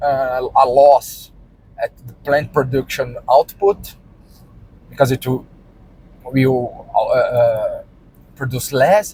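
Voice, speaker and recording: In a Brazilian Portuguese accent, a man talks at a very slow pace with long, frequent pauses, recorded with a dry, close sound and no echo. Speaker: vlogger and farmer. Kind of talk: casual vlog monologue. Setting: in a car, driving. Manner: halting, many repetitions and fillers.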